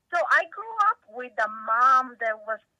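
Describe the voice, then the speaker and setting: With an Italian accent, a woman speaks in a bright, sharp tone and ordinary pitch variation, the sound dry and close with no echo. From Italy. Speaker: tech company CEO. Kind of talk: interview.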